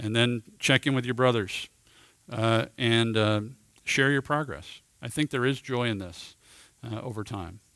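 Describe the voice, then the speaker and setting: This man has a medium pitch and a bright, sharp tone. He goes at a fairly slow pace with long, frequent pauses. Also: ordinary pitch variation, very clean recording, silent background. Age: 50s. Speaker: men's ministry teacher. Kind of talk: teaching talk.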